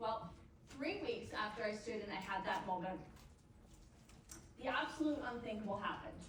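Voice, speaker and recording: With noticeable background noise and audible room echo, a woman talks at a moderate pace with lively intonation. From Canada. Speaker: motivational speaker. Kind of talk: keynote speech. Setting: stage with audience.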